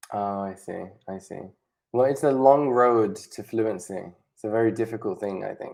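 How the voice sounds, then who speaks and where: A British accent at a moderate pace. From Spain and Britain. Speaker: online English tutor. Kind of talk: casual chat.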